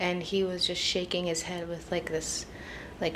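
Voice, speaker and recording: In an American accent, a woman with a fairly low pitch speaks at a fairly slow pace over noticeable background noise. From Idaho (Boise). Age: 20s. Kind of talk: interview, personal testimony.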